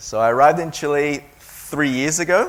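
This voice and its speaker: A man's fairly high voice with an Australian accent, moderate pace and ordinary pitch variation. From Taiwan until 12, then Melbourne, Australia. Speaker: education agency owner. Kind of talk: seminar talk. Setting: seminar with audience.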